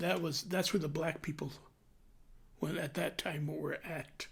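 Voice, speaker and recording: A man's fairly high voice with vocal fry. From New Mexico (Clayton, then Albuquerque). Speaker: retired butcher, interviewee. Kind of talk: oral history interview.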